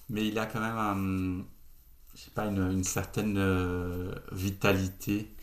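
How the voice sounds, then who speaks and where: A man with a fairly low pitch speaks very slowly in a monotone, flat intonation. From Brazil. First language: Portuguese (speaking French). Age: 30s. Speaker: co-founder of an ethical e-commerce platform. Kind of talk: casual interview.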